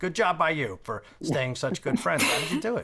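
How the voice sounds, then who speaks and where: In a New York accent, a man speaks at a moderate pace with vocal fry. The recording is very clean, the background silent. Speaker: sports betting podcast host. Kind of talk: casual interview.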